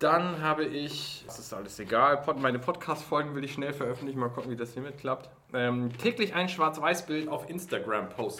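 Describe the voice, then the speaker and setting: Over noticeable background noise, a man talks at a moderate pace with hardly any pauses, his fairly high voice showing ordinary pitch variation. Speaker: podcast host. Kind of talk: casual chat. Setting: office during lunch break.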